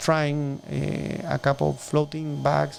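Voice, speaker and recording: A man with a strong Chilean accent. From southern Chile. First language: Spanish. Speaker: shellfish farmer. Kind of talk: interview. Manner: halting.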